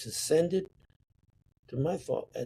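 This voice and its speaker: A man talks in a dark, mellow, somewhat breathy tone at a moderate pace. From Sicily, Italy. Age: 80s+. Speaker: painter. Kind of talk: interview answer.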